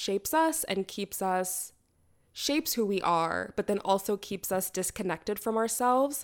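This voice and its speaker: In a very clean recording with a silent background, a woman with a Canadian accent and an ordinary speaking voice talks fairly slowly at medium pitch with lively intonation. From Canada. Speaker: podcast host, theorist and writer. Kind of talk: solo reflective monologue.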